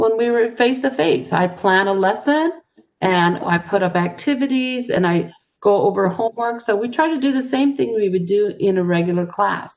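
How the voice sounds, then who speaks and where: A woman with an unremarkable speaking voice talks at a moderate pace and medium pitch, with lively intonation and very even loudness. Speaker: ESL teacher. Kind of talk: tutorial.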